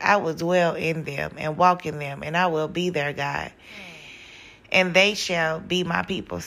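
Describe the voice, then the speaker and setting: A raspy, put-on character voice moves at a moderate pace with fairly even intonation. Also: woman, fairly low pitch for a woman. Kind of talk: reading scripture.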